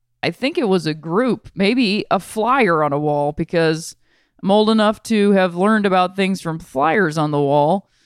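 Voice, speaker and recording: In a very clean recording with a silent background, a woman with an American accent talks in a plain, everyday voice at medium pitch, fairly slowly and with lively intonation. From Ohio, Akron. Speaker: podcast host. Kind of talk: casual chat.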